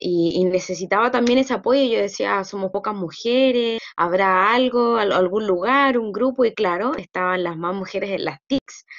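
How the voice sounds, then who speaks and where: Against a quiet background, a woman speaks at a fairly slow pace with ordinary pitch variation. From Chile. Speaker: student. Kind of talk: testimony. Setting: video call. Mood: warm, proud, smiling. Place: home room. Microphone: video call.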